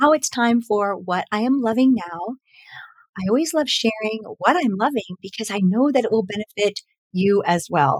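A woman speaks in an animated tone with lively intonation at a moderate pace, her voice dry and close with no echo. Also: fairly high pitch for a woman. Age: 50s. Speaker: podcast host and mindfulness teacher. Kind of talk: solo podcast monologue.

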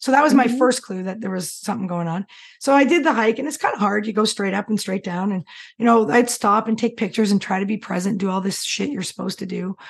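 A woman talks at a very fast pace in a fairly high, somewhat breathy voice with ordinary pitch variation over a quiet background. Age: 50s. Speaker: change coach and hypnotherapist. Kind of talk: interview.

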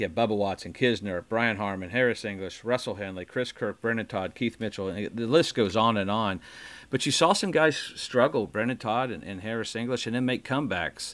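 A man's fairly quick, fairly low-pitched voice with ordinary pitch variation, an unremarkable speaking voice. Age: 60s. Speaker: podcast host, golfer. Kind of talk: interview.

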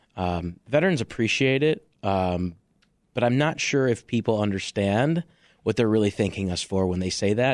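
A man with an American accent talks at a moderate pace in a fairly low voice with ordinary pitch variation. The recording is very clean, with a silent background. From Chicago, western suburbs. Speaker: army veteran. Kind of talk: radio interview. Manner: halting, many fillers.

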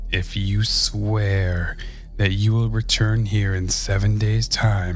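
Natural voice for reading aloud

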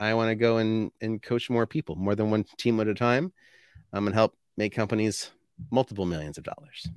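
On a very clean recording with a silent background, a man with a Canadian accent talks at a moderate pace in a fairly low pitch, the sound dry and close with no echo. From Canada, New Brunswick. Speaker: sales consultant. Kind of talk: casual interview.

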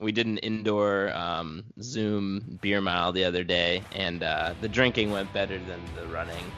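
Over music in the background and audible room echo, a man talks at a fairly slow pace with hardly any pauses and fairly even intonation. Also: fairly low pitch for a man. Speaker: podcast host. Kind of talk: casual chat.

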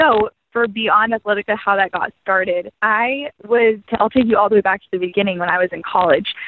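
A woman uses a normal speaking voice at medium pitch, with ordinary pitch variation and a fairly quick pace. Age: 20s. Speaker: entrepreneur and pageant contestant. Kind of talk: interview.

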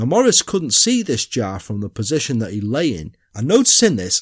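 Speaking with a British accent and vocal fry, a man swings his pitch very widely at a moderate pace, captured on a very clean recording with a silent background. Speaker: true crime podcaster. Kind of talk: true crime narration, dramatic storytelling read in a measured, suspenseful tone. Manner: formal, literary storyteller.

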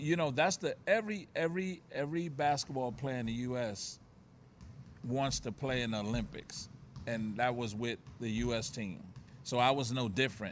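A man's medium-pitched voice with an American accent, lively intonation and a moderate pace. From Harlem, New York. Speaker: former basketball player. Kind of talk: interview. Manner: halting, repeats words.

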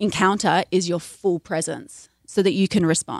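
Vocal fry runs through the voice at a moderate pace. The recording is very clean with a silent background, dry and close with no echo. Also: woman. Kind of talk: interview advice, conversational.

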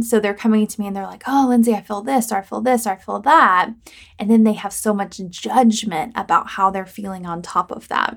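Speaking at a moderate pace, a woman with a medium-pitched voice keeps her intonation fairly even on a very clean recording with a silent background. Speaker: podcast host and life coach. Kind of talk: solo podcast monologue. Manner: relaxed, chill delivery.

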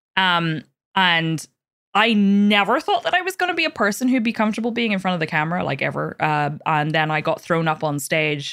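A woman with a Northern Irish accent, fairly quick pace and ordinary pitch variation. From Northern Ireland, Belfast. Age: 20s. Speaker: podcast host and streamer. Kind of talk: casual chat. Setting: video call.

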